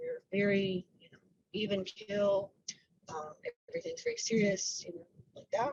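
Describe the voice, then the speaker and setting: Using a put-on character voice, a woman sounds raspy at a medium pitch, with big swings in loudness. She moves at a moderate pace with long, frequent pauses. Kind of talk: monotone. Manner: flat, very serious.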